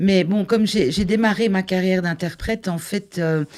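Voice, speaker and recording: Recorded very cleanly against a silent background, a woman speaks in an unremarkable speaking voice at a moderate pace with ordinary pitch variation. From Flanders, Belgium (Limburg). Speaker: conference interpreter, election candidate. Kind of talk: interview.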